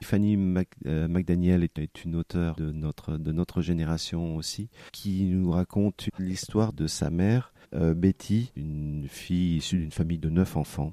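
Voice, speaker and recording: A man speaks very slowly in a very deep, low voice with a dark, mellow tone and fairly even intonation. The sound is dry and close with no echo, on a very clean recording with a silent background. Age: 50s. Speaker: bookseller. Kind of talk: interview. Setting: in a bookshop. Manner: halting.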